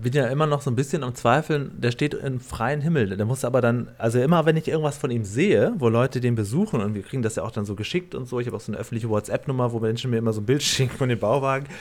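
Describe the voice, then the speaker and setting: Words come at a very fast pace with hardly any pauses and ordinary pitch variation. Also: man, medium pitch for a man. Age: 40s. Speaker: podcast host. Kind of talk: casual chat.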